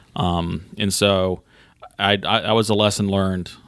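A man speaks very slowly in a fairly low voice with an Alabama accent. His intonation stays flat and monotone. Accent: US Southern (Alabama). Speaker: golf club general manager. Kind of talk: interview.

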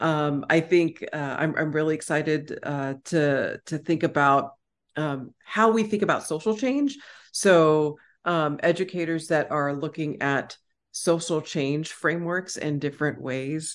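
Speaking at a fairly slow pace in an American accent, a woman uses a very deep, low pitch with ordinary pitch variation over a quiet background. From Texas. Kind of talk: casual conversational interview.

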